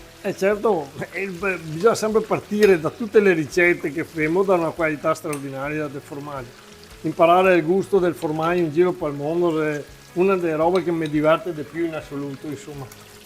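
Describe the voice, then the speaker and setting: With a Venetian accent, a man speaks at a fairly quick pace and a high pitch with ordinary pitch variation, music playing in the background. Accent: Venetian dialect slips. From Veneto, Italy. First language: Venetian (speaking Italian). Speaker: cook, agritourism owner. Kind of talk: cooking demonstration. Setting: farm kitchen. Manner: animated.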